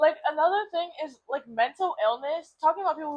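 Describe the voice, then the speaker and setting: At a very fast pace, a woman speaks in a high pitch with an animated tone. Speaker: podcast co-host. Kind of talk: casual chat.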